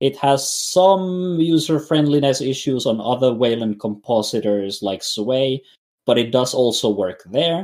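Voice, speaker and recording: The speaker has a non-native accent and talks at a fairly slow pace with lively intonation. The recording is very clean, with a silent background. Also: man, medium pitch for a man. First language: not English. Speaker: podcast co-host, Linux livestreamer. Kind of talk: casual chat. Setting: voice chat on Discord. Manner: halting, many fillers.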